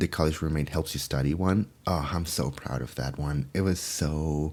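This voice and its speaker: Soft-spoken, a man talks at a moderate pace with a very deep, low pitch and ordinary pitch variation. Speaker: furry ASMR content creator. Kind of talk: casual Q&A talk to camera. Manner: soft-spoken, friendly.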